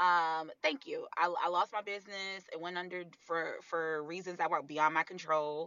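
A normal speaking voice at a moderate pace, with fairly even intonation and hardly any pauses. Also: woman, fairly low pitch for a woman. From US Northeast, Harlem New York. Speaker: burlesque artist and mother. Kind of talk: casual chat.

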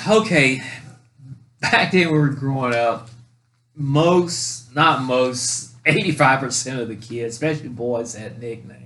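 With an American accent, a man speaks at a very slow pace and medium pitch. His tone is bright and sharp, with ordinary pitch variation and big swings in loudness. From North Carolina. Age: 60s. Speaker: podcast co-host telling family stories. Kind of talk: casual chat, storytelling.

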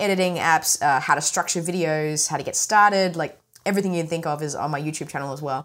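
A woman speaks fairly quickly with a slight Australian accent and lively intonation. The recording is very clean, with a silent background. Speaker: smartphone filmmaking expert. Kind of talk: interview. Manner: mumbly.

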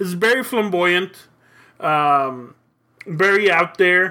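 A man's raised, projected voice carries a bright, sharp tone with ordinary pitch variation. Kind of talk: wrestling promo. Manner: boastful, fired-up, swaggering, with Spanish phrases.

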